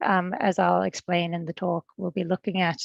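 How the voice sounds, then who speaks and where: A woman speaks at a medium pitch in a flat monotone. The sound is dry and close with no echo, over a quiet background. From Fiji, studied in New Zealand. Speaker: agricultural research technician. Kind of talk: presentation.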